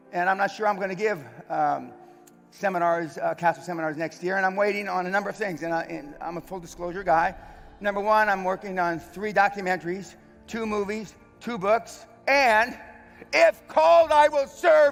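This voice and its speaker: A man speaks at a moderate pace in a high pitch. His intonation is lively, with music in the background. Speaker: veteran and businessman, seminar host, speaker. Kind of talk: motivational stage speech to an event audience.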